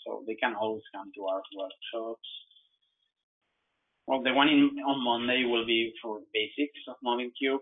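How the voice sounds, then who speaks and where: This man talks at a moderate pace and a medium pitch, with fairly even intonation. His loudness swings widely, and he leaves long, frequent pauses. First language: not English. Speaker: software trainer. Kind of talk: webinar tutorial. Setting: online webinar. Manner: halting, repeats words.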